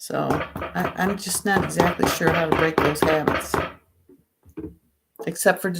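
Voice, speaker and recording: Her pitch varies in an ordinary way as a woman talks at a moderate pace. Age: 60s. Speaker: vlogger sharing a plant-based diet. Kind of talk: casual livestream chat answering viewer comments. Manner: halting, with many restarts and fillers.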